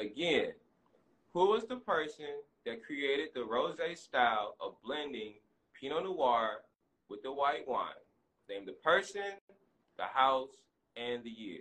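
Talking very slowly with long, frequent pauses, a man with an American accent uses a fairly high pitch, very wide pitch swings and big swings in loudness. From US Midwest, St. Louis. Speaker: wine educator. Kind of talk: casual chat. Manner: animated.

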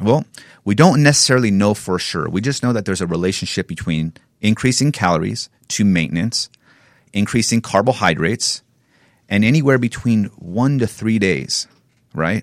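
A man with an American accent has an ordinary speaking voice at a fairly low pitch, talking at a moderate pace with lively intonation in a dry, close sound with no echo on a very clean recording with a silent background. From Northern California. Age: 30s. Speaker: personal trainer and physique competitor. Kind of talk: casual interview.

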